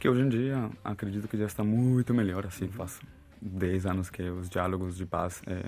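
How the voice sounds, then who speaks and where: In a Brazilian accent, a man speaks at a moderate pace with hardly any pauses, a fairly low pitch, fairly even intonation and big swings in loudness. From Colombia, Bogotá. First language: Spanish (speaking Portuguese). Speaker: therapist. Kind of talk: casual chat.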